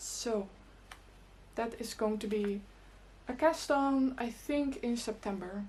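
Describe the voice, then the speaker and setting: A woman's fairly high voice at a very slow pace, with ordinary pitch variation, long and frequent pauses, and audible room echo. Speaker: knitting podcaster and YouTuber. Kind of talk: casual knitting vlog chat.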